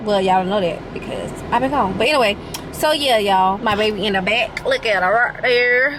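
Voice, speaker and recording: An animated, fairly quick delivery with lively intonation, audible room echo and noticeable background noise. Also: woman. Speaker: vlogger. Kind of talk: casual vlog talk. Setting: in a car. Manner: stuttering.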